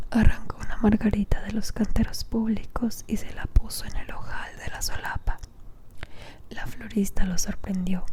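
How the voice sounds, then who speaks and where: Whispering at a fairly slow pace, a woman shows big swings in loudness over noticeable background noise. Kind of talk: audiobook reading. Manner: whispered.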